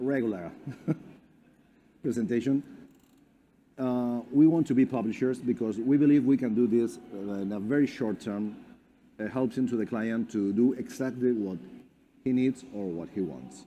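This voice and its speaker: Dark and mellow in tone, the voice carries a Spanish accent, ordinary pitch variation, a moderate pace and long, frequent pauses. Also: man, medium pitch for a man. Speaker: company representative. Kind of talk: presentation. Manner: halting.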